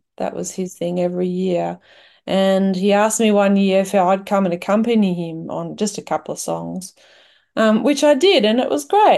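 This woman has a medium-pitched, dark, mellow voice with an Australian accent, ordinary pitch variation and a moderate pace. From Western Australia, wheat belt. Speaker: singer-songwriter. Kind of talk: casual interview. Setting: video call.

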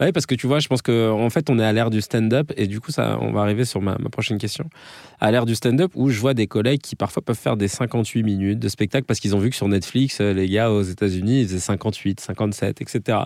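A man talks at a fairly quick pace in a plain, everyday voice. His pitch is fairly low and varies in an ordinary way. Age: 30s. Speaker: comedian and podcast host. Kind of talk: interview. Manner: casual.

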